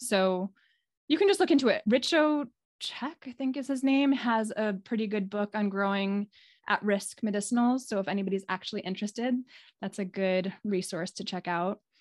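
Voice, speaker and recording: A woman with an unremarkable speaking voice, fairly high in pitch, with ordinary pitch variation and a moderate pace, over a quiet background. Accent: American. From New York City area. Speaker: clinical herbalist. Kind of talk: casual interview. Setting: video call.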